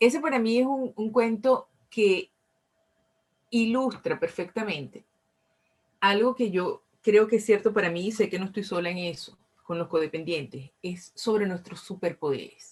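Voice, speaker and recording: With a Venezuelan accent, a woman talks at a fairly slow pace in a medium-pitched, somewhat breathy voice with lively intonation. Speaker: recovery group speaker. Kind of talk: talk to audience. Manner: repetitive, stammering restarts.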